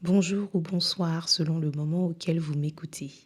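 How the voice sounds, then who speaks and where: With a silent background on a very clean recording, the words come very slowly. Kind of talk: podcast introduction. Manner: formal.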